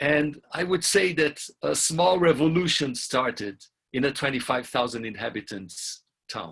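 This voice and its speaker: With vocal fry and a fairly high pitch, a man speaks at a very slow pace using lively intonation. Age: 60s. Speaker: community youth program facilitator. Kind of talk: webinar talk, interpreted consecutively. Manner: halting, with fillers.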